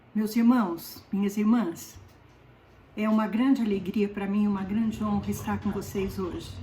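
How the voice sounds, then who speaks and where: A woman's medium-pitched, monotone, flat delivery at a fairly slow pace, with noticeable background noise and audible room echo. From southern Brazil, Paraná. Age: 70s. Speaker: lay preacher. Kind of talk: sermon.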